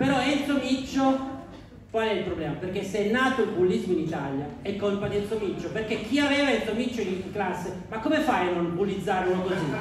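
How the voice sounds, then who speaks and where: Over noticeable background noise, a high-pitched man speaks at a fairly quick pace in an animated tone with lively intonation. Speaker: stand-up comedian. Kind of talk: stand-up comedy. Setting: stage with audience. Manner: animated, punchline-driven delivery with pauses for audience laughter; mock-serious, sarcastic.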